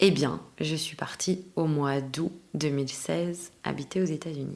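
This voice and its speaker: A woman with a very deep, low pitch talks fairly slowly with fairly even intonation. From Belgium. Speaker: actress. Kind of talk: interview conversation.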